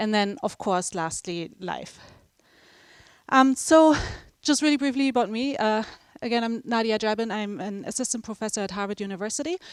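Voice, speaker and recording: A woman with a German accent, fairly high-pitched, at a fairly quick pace with ordinary pitch variation, in a very clean, dry, close recording with a silent background and no echo. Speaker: professor. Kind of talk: lecture. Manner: casual, with many fillers.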